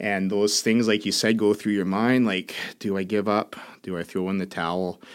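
In a very clean recording with a silent background, a man with a normal speaking voice talks at a moderate pace in a fairly low pitch. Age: 40s. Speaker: business owner and coach. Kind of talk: interview. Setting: studio.

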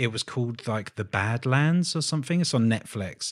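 In a very clean recording with a silent background, a man with an ordinary speaking voice speaks at a medium pitch with lively intonation. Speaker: podcast host and tattoo artist. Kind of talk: casual interview chat. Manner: laughs often.

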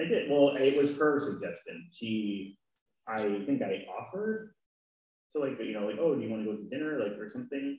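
A man's fairly high-pitched voice, fairly quick in pace, with lively intonation. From California. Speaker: guest, boyfriend of host. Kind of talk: casual chat. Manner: shy, quiet, soft-spoken.

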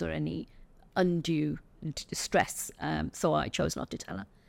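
A woman is speaking. She has an English accent. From England. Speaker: retired chief nurse and healthcare consultant. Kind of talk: interview.

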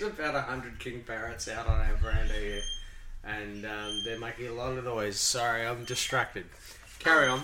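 A man with an Australian accent talks at a fairly quick pace against noticeable background noise. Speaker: podcast host. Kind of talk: casual, chatty.

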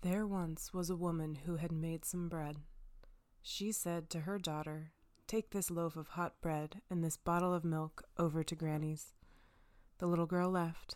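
Fairly low-pitched woman at a fairly slow pace, on a very clean recording with a silent background. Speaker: podcast storyteller. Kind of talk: fairy-tale narration. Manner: wry, cheeky commentary.

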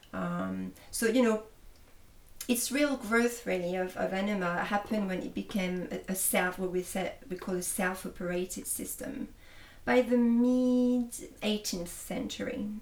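A woman with a French accent, medium in pitch, at a fairly slow pace, with ordinary pitch variation. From France. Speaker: holistic therapist. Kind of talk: interview. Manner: hesitant, with fillers.

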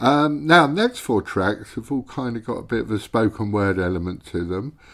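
A man speaks with a British accent at a fairly low pitch. He keeps a moderate pace on a very clean recording with a silent background. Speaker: radio host. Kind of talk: radio show presenting. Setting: radio studio broadcast. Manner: relaxed, casual, hesitant with fillers.

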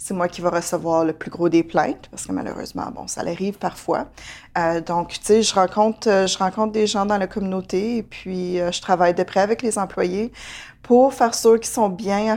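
Speaking at medium pitch and a moderate pace, a woman shows ordinary pitch variation and big swings in loudness on a very clean recording with a silent background. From Ontario, Franco-Ontarian. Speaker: manager at a community health organization. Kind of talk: interview. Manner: halting, many fillers and repetitions.

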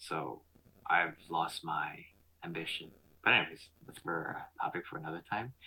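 A man with a Canadian accent speaks at a moderate pace, his loudness swinging widely and his speech broken by long, frequent pauses. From Montreal, Canada. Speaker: podcast host. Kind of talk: casual chat. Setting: video call.

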